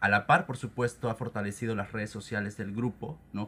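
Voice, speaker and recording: A plain, everyday voice from a man, medium in pitch, with ordinary pitch variation and a fairly quick pace. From Cancún, Mexico. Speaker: media director of writers' group. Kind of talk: radio interview.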